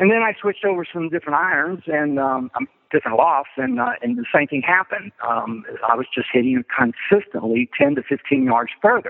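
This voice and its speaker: This man has an unremarkable speaking voice, fairly high in pitch, with lively intonation and a fairly quick pace. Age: 60s. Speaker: amateur golfer. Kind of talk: casual interview.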